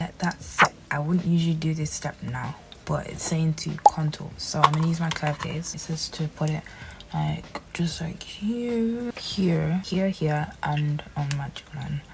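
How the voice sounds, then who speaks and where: A soft-spoken woman with a very deep, low pitch and ordinary pitch variation talks at a fairly slow pace over noticeable background noise. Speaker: beauty youtuber. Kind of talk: makeup tutorial vlog. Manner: quiet, soft-spoken; casual, chatty.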